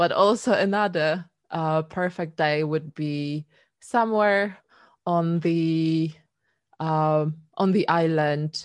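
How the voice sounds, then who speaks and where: A woman's very deep, low voice in a Polish accent, very slow and fairly even in intonation, over a quiet background. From Poland. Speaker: singer-songwriter. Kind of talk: casual interview chat.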